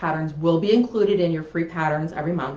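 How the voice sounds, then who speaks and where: Using ordinary pitch variation, a woman with a fairly low voice speaks with an American accent. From US East Coast. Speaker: quilt pattern designer. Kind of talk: live stream announcement. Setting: Facebook Live video stream. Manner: fast.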